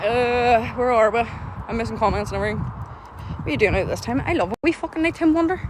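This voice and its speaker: Very fast speech over noticeable background noise. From Northern Ireland, County Antrim. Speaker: livestreamer exploring graveyards. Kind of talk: live stream casual chat. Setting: outdoors at night in a graveyard. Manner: animated.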